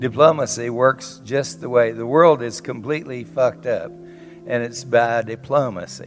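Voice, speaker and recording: With music in the background, a man with a Southern US accent talks at a medium pitch for a man, with ordinary pitch variation, hardly any pauses, and big swings in loudness. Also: fairly slow pace. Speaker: psychotherapist. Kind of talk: conference talk. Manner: blunt, witty.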